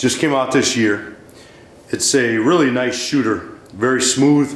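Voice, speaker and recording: Noticeable background noise runs behind a man speaking at a fairly slow pace. His medium-pitched voice has fairly even intonation. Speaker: firearms reviewer. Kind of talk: casual product review to camera.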